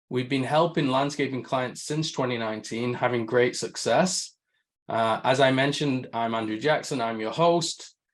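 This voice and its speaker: In a northern English accent, a man talks at a moderate pace and medium pitch against a quiet background. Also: ordinary pitch variation. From northern England. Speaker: marketing agency head, webinar host. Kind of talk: webinar presentation. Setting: video call.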